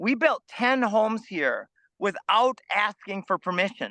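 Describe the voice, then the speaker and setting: A man with an American accent uses a raised, projected voice at a high pitch. His tone is bright and sharp, over a quiet background. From US Midwest, Minnesota. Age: 50s. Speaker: food forest farmer. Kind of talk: interview conversation.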